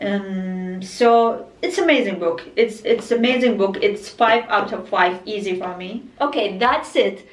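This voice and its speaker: A woman speaks at a fairly slow pace with lively intonation and hardly any pauses, her voice carrying an audible room echo over noticeable background noise. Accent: Arabic. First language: Arabic. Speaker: book vlogger. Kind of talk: casual book review monologue. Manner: halting, many fillers and restarts.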